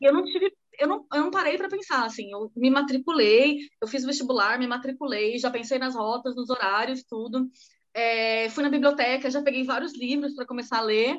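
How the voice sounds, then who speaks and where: With a high pitch and ordinary pitch variation, a woman speaks. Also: moderate pace. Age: 30s. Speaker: podcast co-host, psychotherapist. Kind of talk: casual chat.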